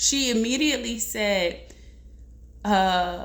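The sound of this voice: A woman speaks slowly, with ordinary pitch variation. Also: medium pitch for a woman.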